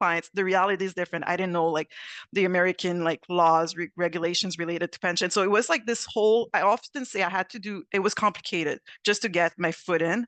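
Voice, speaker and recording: Speaking at a very fast pace, a woman talks with a Quebec accent. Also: medium pitch for a woman, quiet background. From Quebec, Montreal. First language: French. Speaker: actuary, panelist. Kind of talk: panel discussion. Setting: video call.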